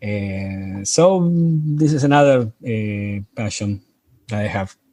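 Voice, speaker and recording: Speaking at a very slow pace, a man with a strong Spanish accent uses lively intonation, his fairly low voice dark and mellow in tone. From Argentina. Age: 50s. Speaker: amateur astronomer, lunar section coordinator. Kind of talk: interview. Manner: halting, many hesitations and restarts.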